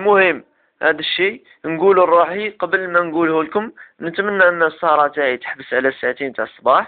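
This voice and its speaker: Using an Algerian accent, a man talks at a moderate pace and a high pitch with ordinary pitch variation. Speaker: self-development web show host. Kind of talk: casual advice talk to camera.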